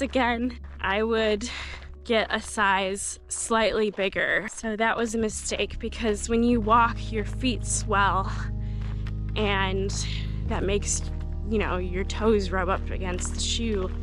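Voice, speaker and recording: Very slowly, a woman speaks in a dry sound with no echo while faint music plays in the background. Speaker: hiker vlogger. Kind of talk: casual vlog chat. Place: open country. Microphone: phone near.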